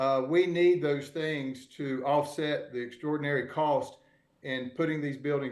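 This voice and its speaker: A man with a Southern US accent speaks with fairly even intonation. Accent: Southern US (Georgia). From US South, Georgia (Albany). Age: 60s. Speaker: real estate developer. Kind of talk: panel discussion. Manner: halting, many fillers.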